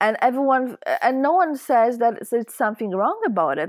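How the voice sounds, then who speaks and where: A woman with a Polish accent speaks with very wide pitch swings in a very clean recording with a silent background and a dry, close sound with no echo. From Poland. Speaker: spiritual teacher. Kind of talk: interview. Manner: halting.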